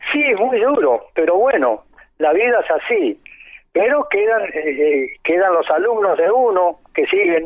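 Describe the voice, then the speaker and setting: The man's high voice swings very widely in pitch while his loudness stays very even. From Argentina, Santiago del Estero. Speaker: folk dancer and dance teacher. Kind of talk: interview. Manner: halting, with frequent repetitions.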